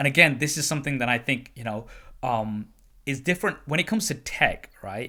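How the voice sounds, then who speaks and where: A man with a British accent, fairly high pitch, a bright, sharp tone, lively intonation and a fairly quick pace. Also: very clean recording, silent background. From UK. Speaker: tech YouTuber and podcast host. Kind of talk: casual interview chat.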